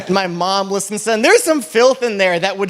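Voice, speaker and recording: With noticeable background noise behind him, a man with a high voice talks at a fairly quick pace with lively intonation. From New England. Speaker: stand-up comedian. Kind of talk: stand-up.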